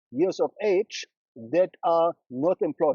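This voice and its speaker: A man speaks fairly slowly in a German accent, his intonation lively. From Germany, Berlin. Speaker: brand strategist. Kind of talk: interview. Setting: studio.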